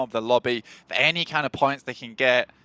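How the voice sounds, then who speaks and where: The man's intonation stays fairly even, recorded with a dry, close sound and no echo. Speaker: esports caster. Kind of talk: live commentary. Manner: fast.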